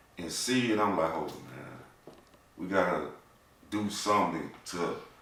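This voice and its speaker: Speaking at a fairly slow pace with ordinary pitch variation, a man with a very deep, low pitch is heard amid audible room echo. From US South, small town. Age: 40s. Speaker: tax business owner and nonprofit founder. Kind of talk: casual chat.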